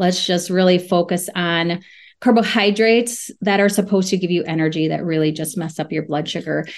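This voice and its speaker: A woman with an ordinary speaking voice, fairly low in pitch, talks at a fairly quick pace with fairly even intonation. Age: 40s. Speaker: registered dietitian. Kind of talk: casual interview chat. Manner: laughs often.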